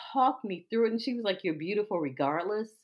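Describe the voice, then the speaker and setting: A woman talks with an American accent in an unremarkable speaking voice. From Washington, D.C. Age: 50s. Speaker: podcast co-host. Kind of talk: casual chat.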